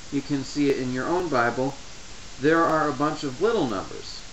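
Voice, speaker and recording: Over noticeable background noise, a man with a fairly high voice talks at a moderate pace, his pitch varying in an ordinary way. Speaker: Bible study tutorial maker. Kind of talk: tutorial talk to camera. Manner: stutters.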